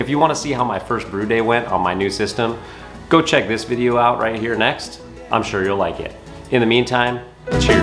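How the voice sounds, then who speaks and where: With clear music in the background, a man speaks at a fairly quick pace and with fairly even intonation. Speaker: home brewer vlogger. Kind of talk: casual vlog chat. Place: garage. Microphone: phone near.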